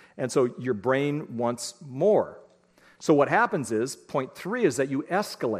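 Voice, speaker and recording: A man with a fairly high pitch uses lively intonation in an ordinary speaking voice. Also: fairly slow pace. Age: 60s. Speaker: parenting speaker. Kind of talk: lecture.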